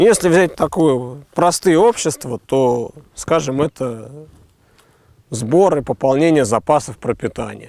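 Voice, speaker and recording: Recorded very cleanly against a silent background, a man with a fairly high pitch and a dark, mellow tone speaks at a very slow pace, his loudness very even and his intonation lively. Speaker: philosopher. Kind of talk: explanatory philosophical conversation.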